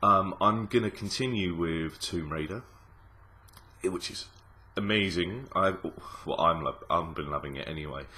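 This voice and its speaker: In a Cockney accent, a man mumbles at a moderate pace in a bright, sharp tone, his very deep, low pitch showing ordinary variation. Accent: Cockney London English. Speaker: gaming YouTuber. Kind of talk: casual vlog. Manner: mumbling, hesitant with many ums.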